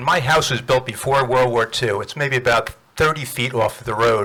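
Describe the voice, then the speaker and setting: The tone is bright and sharp, with fairly even intonation. Delivery comes at a moderate pace. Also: man. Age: 70s. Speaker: public commenter at a town meeting; farmer. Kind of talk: public comment. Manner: halting.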